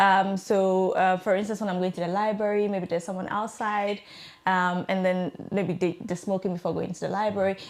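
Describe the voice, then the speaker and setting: With a medium pitch and monotone, flat intonation, a woman talks at a fairly quick pace in a very clean recording with a silent background. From Ghana. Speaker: scholarship alumna, communication professional. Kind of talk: interview. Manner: hesitant, with fillers and restarts.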